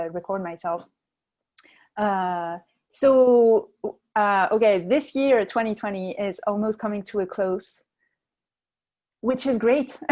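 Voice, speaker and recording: A woman speaks at a medium pitch with ordinary pitch variation, a fairly slow pace, and long, frequent pauses. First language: not English. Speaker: storytelling show host. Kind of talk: interview. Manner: hesitant, many fillers.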